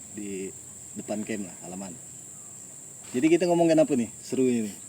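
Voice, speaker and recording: A man at a medium pitch talks at a fairly quick pace, with very wide pitch swings and big swings in loudness. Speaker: podcast host, university alumnus. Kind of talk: casual chat. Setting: outdoors, front yard of a campus camp.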